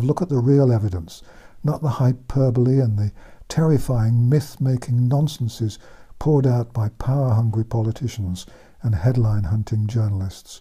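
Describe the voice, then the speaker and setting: Over a quiet background, a man speaks at a moderate pace in a dark, mellow, somewhat breathy tone with ordinary pitch variation. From England. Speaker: author and former general practitioner. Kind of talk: commentary monologue. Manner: calm, laid back. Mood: indignant, scornful. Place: home room.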